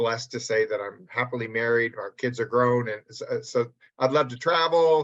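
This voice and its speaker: The man talks fairly slowly with a medium pitch. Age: 60s. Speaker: publishing company president. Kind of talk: interview. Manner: hesitant, many fillers.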